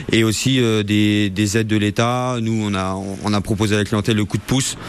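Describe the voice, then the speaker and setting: Against noticeable background noise, a man speaks at a moderate pace with a fairly low pitch and fairly even intonation. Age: 20s. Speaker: bike shop owner. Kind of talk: interview. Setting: in a shop. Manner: halting.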